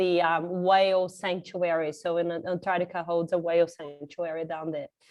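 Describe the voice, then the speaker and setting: A woman speaks with a slight Australian accent. Her pace is moderate. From Brazil. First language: Portuguese. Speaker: marine conservationist. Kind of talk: conference talk.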